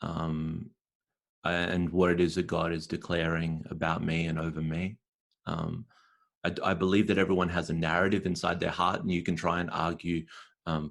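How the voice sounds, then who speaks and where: In an Australian accent, a man speaks with a very deep, low pitch and a monotone, flat intonation at a moderate pace, recorded very cleanly against a silent background. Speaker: spoken word poet and performer. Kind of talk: podcast interview answer.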